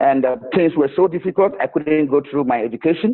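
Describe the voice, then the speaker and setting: This man speaks with a strong Ghanaian accent. His pitch is fairly high. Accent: Ghanaian, strong enough to need explaining. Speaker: charity founder. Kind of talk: interview. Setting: video call.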